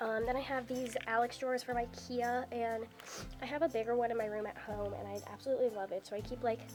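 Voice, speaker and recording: Someone speaks fairly quickly while music plays behind the voice. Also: woman. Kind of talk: casual talk to camera. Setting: indoors, dorm room.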